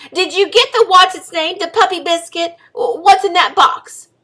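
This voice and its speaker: A woman's put-on character voice at an extremely high pitch, moderate pace. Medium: read story. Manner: brisk, scolding.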